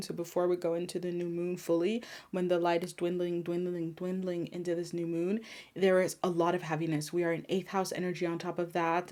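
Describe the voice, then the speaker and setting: The pace is fairly quick. The recording is very clean, and the background is silent. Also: woman. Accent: French. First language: French. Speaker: spiritual healer and tarot reader. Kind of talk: card reading monologue.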